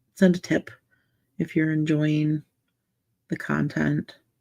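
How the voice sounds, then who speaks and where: A soft-spoken woman's voice, fairly low in pitch with a dark, mellow tone, at a very slow pace in a dry, close sound with no echo. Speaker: livestream coloring ASMR host. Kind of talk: casual livestream chat.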